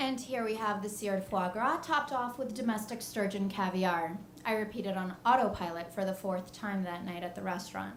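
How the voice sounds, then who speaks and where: Speaking at a fairly quick pace with hardly any pauses, a woman uses a medium pitch and ordinary pitch variation over noticeable background noise. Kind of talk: live storytelling performance.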